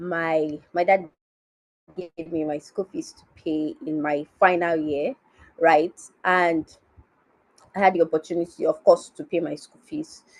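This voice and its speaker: Speaking slowly, a woman with a Nigerian accent keeps a fairly low pitch and fairly even intonation, with a dry, close sound with no echo. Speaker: finance educator. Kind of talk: conference talk.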